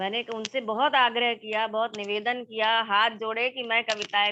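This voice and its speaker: A woman speaks with a Marathi accent at a fairly high pitch. Her intonation is monotone and flat. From India, Madhya Pradesh (Gwalior). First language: Marathi (speaking Hindi). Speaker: poet. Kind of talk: interview.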